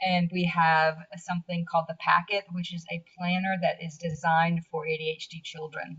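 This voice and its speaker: Somewhat breathy and fairly low, a woman's voice with an American accent holds a fairly even intonation. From US South. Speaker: blogger. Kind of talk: interview. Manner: halting.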